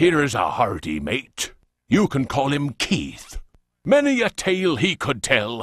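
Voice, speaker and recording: Against a quiet background, a man bellows in a put-on character voice at a fairly high pitch. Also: fairly slow pace. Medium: machinima. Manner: roaring, boastful.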